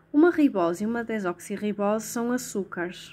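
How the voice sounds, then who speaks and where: A woman talks in a European Portuguese accent at a medium pitch. Her pace is moderate, with ordinary pitch variation. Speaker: tutor. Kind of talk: tutorial.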